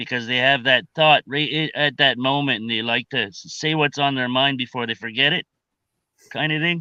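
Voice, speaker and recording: A man with a Maritime Canadian accent, medium pitch, fairly even intonation and a fairly quick pace. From Maritime Canada. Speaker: participant in live group chat stream. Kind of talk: casual group discussion.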